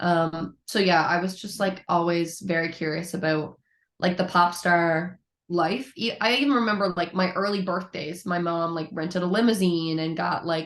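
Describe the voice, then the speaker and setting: At a moderate pace, a woman talks in an ordinary speaking voice, her pitch fairly low and her intonation fairly even. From Newfoundland, Canada (St. John's). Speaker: musician. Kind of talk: interview. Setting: podcast.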